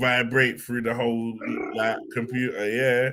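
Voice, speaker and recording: Noticeable background noise behind a fairly slow delivery. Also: man. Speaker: football fan show co-host. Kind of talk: casual chat.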